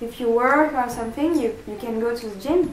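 Someone speaks in a French accent with ordinary pitch variation. Faint music plays in the background and room echo is audible. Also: woman. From France. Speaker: vegan fitness vlogger. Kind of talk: casual talk to camera. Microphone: phone near.

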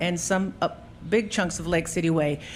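Ordinary pitch variation and a fairly quick pace in a plain, everyday voice. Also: woman. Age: 60s. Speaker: city council member and candidate. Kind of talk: political debate.

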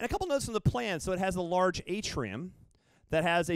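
Talking at a fairly quick pace with lively intonation, a man with an American accent uses a normal speaking voice, recorded with a dry sound, no echo and a quiet background. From US South, Memphis, Tennessee. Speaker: architect and adjunct instructor. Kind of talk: humorous bar talk with slides. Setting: bar stage with audience. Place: stage. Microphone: handheld.

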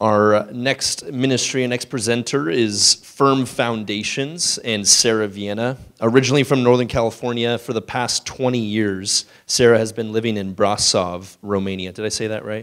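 In an unremarkable speaking voice, a man talks at a moderate pace and medium pitch with fairly even intonation, hardly any pauses and a quiet background. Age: 30s. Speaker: event host. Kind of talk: speaker introduction. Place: hall. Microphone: handheld.

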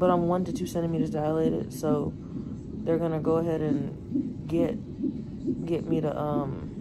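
Loud background noise runs throughout. The speaking pace is moderate. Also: woman, ordinary pitch variation. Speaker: expectant mother vlogger. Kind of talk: casual vlog chat. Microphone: phone near.

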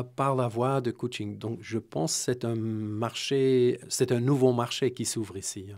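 A male speaker goes at a fairly slow pace, his intonation fairly even, with quiet all around. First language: not Romanian; speaks French here (speaking Romanian). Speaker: executive coach; interview guest. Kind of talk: interview via interpreter; interview answer. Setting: radio studio. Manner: hesitant, many fillers. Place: studio. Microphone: studio mic.

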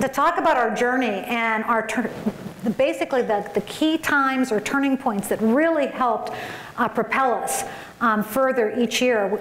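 In a room with audible echo and light background noise, a woman speaks at a high pitch with ordinary pitch variation and very even loudness. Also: moderate pace. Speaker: conference keynote speaker. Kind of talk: keynote speech. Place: hall. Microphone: podium.

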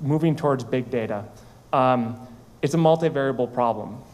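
A man with an American accent talks at a moderate pace and medium pitch. His intonation stays fairly even, and the room echo is audible. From US Midwest, rural Minnesota. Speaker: startup founder and CEO. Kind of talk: conference talk. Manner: halting.

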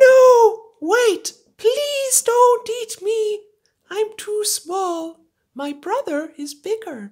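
In a cartoonish character voice, a woman talks at a very slow pace with an extremely high pitch. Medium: puppet.

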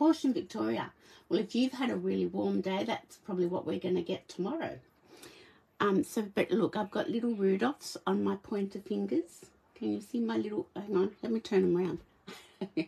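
The pace here is moderate. The speaker is a woman with an Australian accent. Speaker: papercraft demonstrator. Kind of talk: live craft tutorial. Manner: casual, chatty with laughs. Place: home room. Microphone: phone near.

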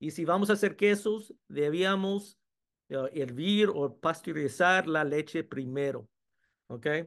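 A man's fairly high voice at a very slow pace, with ordinary pitch variation and a quiet background. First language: English (speaking Spanish). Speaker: food science professor. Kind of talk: webinar presentation. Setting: video webinar. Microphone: video call.

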